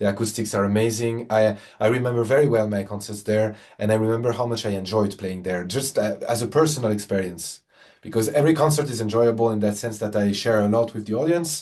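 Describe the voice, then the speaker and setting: A very fast-talking man with a French accent, a dark, mellow tone and ordinary pitch variation. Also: fairly low pitch for a man. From France. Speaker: concert pianist. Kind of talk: interview conversation. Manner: halting, many repetitions and fillers.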